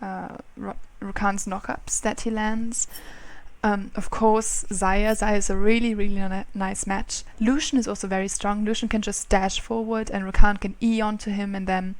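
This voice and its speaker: A woman with a non-native accent speaks at a moderate pace and medium pitch in monotone, flat intonation. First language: not English. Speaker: gaming youtuber. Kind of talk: gameplay commentary. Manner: halting.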